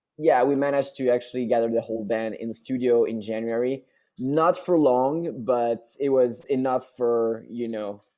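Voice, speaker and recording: With a French accent, a man speaks at medium pitch and a moderate pace. His tone is dark and mellow, with ordinary pitch variation. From France. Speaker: rock band singer. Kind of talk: interview. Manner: halting, many repetitions and fillers.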